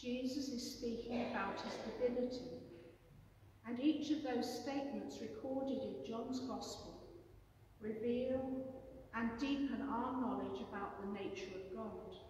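Strong room echo and light background noise surround a woman with a high pitch. She speaks at a fairly slow pace with ordinary pitch variation. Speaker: preacher. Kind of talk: sermon. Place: church. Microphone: camera far.

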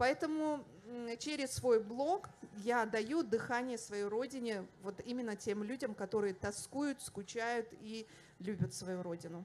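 Light background noise sits behind a woman speaking very slowly. Her pitch is fairly high, with ordinary variation. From Dagestan, Russia. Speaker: language activist, teacher; teacher. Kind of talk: panel discussion. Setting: festival stage with audience. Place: hall. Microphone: handheld.

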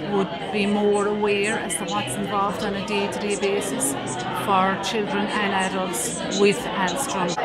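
A woman at a fairly slow pace, with crowd noise in the background. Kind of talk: interview answer. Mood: earnest, hopeful. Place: hall.

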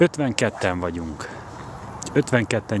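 A very slow, lively-intoned man's voice at a fairly low pitch, the sound dry with no echo, over light background noise. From Hungary. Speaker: fishing competition organizer and vlogger; vlogger. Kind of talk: live walkaround vlog. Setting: outdoors at a fishing lake. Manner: casual, chatty greetings. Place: waterside. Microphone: phone near.

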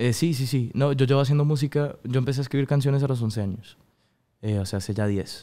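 With a dark, mellow tone and ordinary pitch variation, a man speaks at a very fast pace. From Colombia (Bogotá), early childhood in Miami; Colombia. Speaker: singer; guest. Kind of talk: interview. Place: studio. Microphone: studio mic.

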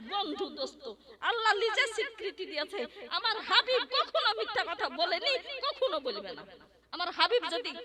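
An animated woman's voice at an extremely high pitch, with very wide pitch swings and noticeable background noise. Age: 40s. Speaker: female Islamic preacher. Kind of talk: religious sermon. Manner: animated, emphatic.

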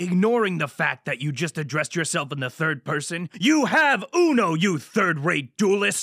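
A man's cartoonish character voice, high-pitched, at a moderate pace with hardly any pauses, on a very clean recording with a silent background. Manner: angry, shouting.

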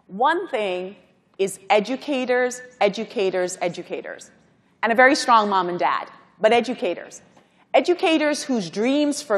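Faint music plays behind a woman who speaks at a fairly slow pace with lively intonation. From Guyana, then Brooklyn, New York; New York. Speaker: corporate executive, panel speaker; speaker. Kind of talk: conference panel remarks. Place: hall. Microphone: lapel.

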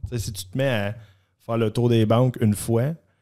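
At a moderate pace, a man speaks with a fairly low pitch, a dark, mellow tone and fairly even intonation over a quiet background. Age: 30s. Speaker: mortgage specialist, former junior hockey player; guest. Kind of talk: casual interview chat. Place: studio. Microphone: studio mic.

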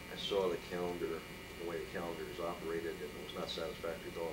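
Through loud background noise, a man with an American accent speaks at a very fast pace. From San Jose, California. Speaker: appellate judge. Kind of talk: oral history interview answer. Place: office. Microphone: camera far.

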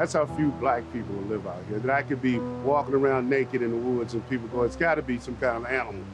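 A man with an American accent talks at a very fast pace with hardly any pauses and ordinary pitch variation. Music plays in the background, and the sound is dry with no echo. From Virginia, USA. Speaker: storyteller, army veteran. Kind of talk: casual documentary interview. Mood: warm, amused, reflective. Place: forest.

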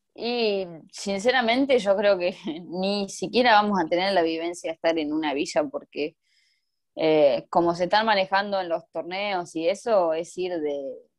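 The background is quiet as a woman speaks at a fairly slow pace. Her pitch varies in an ordinary way. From Argentina. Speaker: Paralympic swimmer; interviewee. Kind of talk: interview. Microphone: video call.

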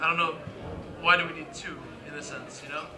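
Over noticeable background noise, a man's speech moves along fairly quickly. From Hawaii. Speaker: comic book artist. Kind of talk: live panel interview. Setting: stage with audience. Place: hall. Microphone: handheld.

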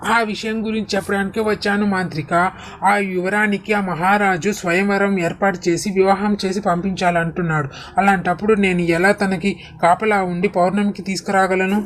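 A cartoonish character voice sounds female and sits at a middle pitch. It moves at a moderate pace over clear background noise. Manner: servile, obedient.

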